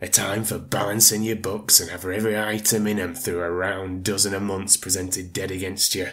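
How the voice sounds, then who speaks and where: A gruff put-on character voice from a man, fairly low in pitch, at a moderate pace with fairly even intonation. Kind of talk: audiobook reading. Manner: cold, scornful, gruff.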